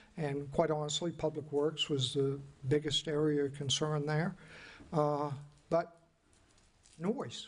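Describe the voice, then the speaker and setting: With a somewhat breathy, fairly high pitch, a man speaks in a monotone, flat intonation, with long, frequent pauses. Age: 60s. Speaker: city commissioner. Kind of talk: public meeting discussion. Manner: halting.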